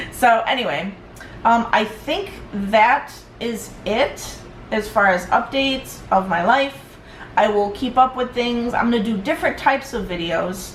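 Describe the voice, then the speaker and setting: A woman speaks with lively intonation. Noticeable background noise and audible room echo fill the recording. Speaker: vlogger. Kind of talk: personal vlog. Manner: halting.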